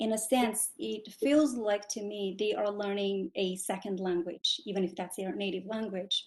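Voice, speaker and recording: Fairly slowly, a woman speaks with a non-native accent. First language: not English. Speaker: graduate student, audience member. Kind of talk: question from audience. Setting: online video call.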